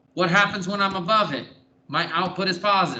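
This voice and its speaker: A man with a high voice projects loudly, and the room's echo can be heard. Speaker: math teacher. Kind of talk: classroom lecture. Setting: classroom.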